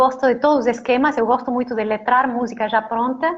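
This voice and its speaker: Speaking with a strong Argentine accent, a woman talks at a fairly quick pace and a high pitch. Her intonation stays flat and monotone. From Argentina. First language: Spanish (speaking Portuguese). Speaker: singer and songwriter. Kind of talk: interview.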